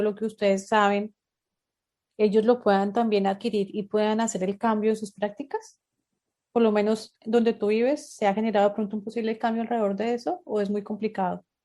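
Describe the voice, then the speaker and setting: At a fairly quick pace, a woman speaks with a fairly high pitch, a dark, mellow tone and fairly even intonation. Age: 30s. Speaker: podcast host. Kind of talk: interview.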